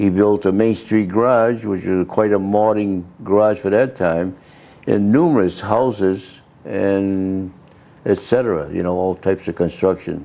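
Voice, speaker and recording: In a New England accent, a man with a dark, mellow tone speaks at a fairly slow pace with ordinary pitch variation. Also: fairly low pitch for a man. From Massachusetts (Leominster). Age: 80s+. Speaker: local businessman. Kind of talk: interview.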